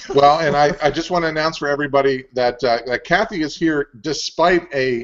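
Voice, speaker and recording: Over a quiet background, a man speaks at a fairly quick pace. His pitch is fairly high, with ordinary variation. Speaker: show co-host. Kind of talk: casual chat. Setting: video call. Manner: loud. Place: home room. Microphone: earbuds.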